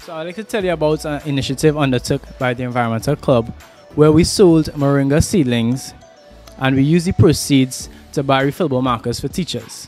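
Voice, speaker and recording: A man talks at a fairly quick pace with ordinary pitch variation and big swings in loudness. The sound is dry with no echo, and faint music plays in the background. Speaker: student interviewer. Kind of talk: interview questions and explanation. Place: classroom. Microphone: handheld.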